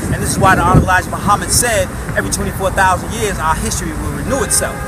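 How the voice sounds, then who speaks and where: A man's voice with music in the background. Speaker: speaker. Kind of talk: impassioned street lecture. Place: street. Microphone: phone near.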